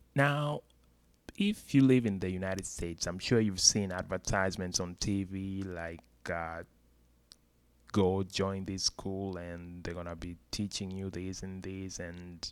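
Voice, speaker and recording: The man's pitch is very deep and low, his intonation fairly even, and his pace fairly slow. His loudness swings widely, and the recording is very clean against a silent background. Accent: non-native. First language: not English. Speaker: YouTuber. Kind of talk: casual explainer video. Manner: hesitant, with fillers.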